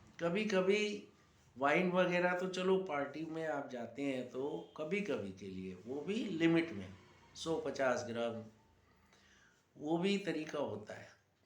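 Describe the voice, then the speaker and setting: Amid audible room echo and noticeable background noise, a man speaks at a fairly high pitch with very wide pitch swings and big swings in loudness. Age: 60s. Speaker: yoga teacher. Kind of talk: talk to camera.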